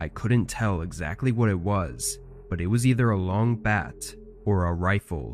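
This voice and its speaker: Music plays behind a man with a very deep, low voice and a dramatic tone. He talks at a moderate pace with lively intonation. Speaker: narrator reading listener-submitted horror stories. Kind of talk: scripted first-person horror narration, true-crime style. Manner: tense, hushed, building suspense with steady measured pacing; dramatic, intensifying on frightening moments.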